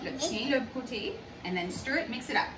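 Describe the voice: A woman with a fairly high pitch talks at a fairly quick pace with ordinary pitch variation. Clear background noise and audible room echo are present.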